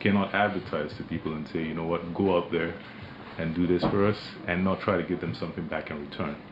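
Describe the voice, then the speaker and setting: Noticeable background noise sits behind a man with a very deep, low pitch. He speaks at a fairly quick pace with ordinary pitch variation. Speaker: company managing director. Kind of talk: radio interview. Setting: radio studio.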